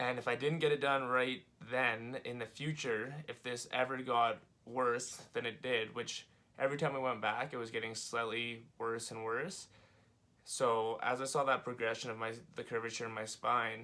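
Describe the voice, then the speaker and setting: A man speaks with a Western Canadian accent. His tone is bright and sharp, with monotone, flat intonation. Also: medium pitch for a man, moderate pace. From Canada, Calgary, Alberta. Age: 20s. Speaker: vlogger sharing personal medical story. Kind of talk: personal testimony vlog. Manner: casual, filler-heavy with frequent 'um' and 'uh'.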